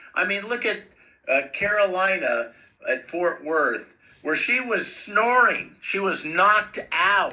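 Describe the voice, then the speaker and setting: With an American accent, a man with a high pitch speaks very slowly in a raised, projected voice, his intonation lively over noticeable background noise. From US West, East Los Angeles. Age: 70s. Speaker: activist video commentator. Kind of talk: commentary over own footage. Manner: animated.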